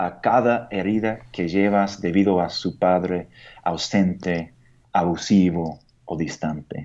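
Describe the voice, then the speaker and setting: A man with a very deep, low voice and an American accent. He speaks very slowly with fairly even intonation. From United States. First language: English (speaking Spanish). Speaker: pastor and missionary. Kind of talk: radio interview. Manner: halting.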